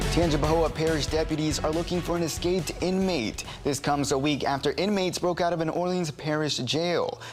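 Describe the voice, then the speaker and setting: Music plays in the background as a speaker with an American accent talks at a fairly quick pace with hardly any pauses. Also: man, fairly high pitch for a man, fairly even intonation, very even loudness. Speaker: local TV news anchor and multimedia journalist. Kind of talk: studio anchor newscast read. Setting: TV news studio.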